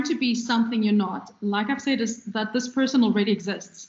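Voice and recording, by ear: Audible room echo surrounds a woman speaking at a fairly high pitch and moderate pace with ordinary pitch variation.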